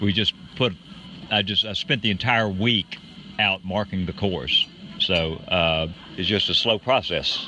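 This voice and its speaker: A man speaks fairly slowly in a fairly low pitch with ordinary pitch variation, taking long, frequent pauses over noticeable background noise. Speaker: race director. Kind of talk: casual interview. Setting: outdoors at a trail race.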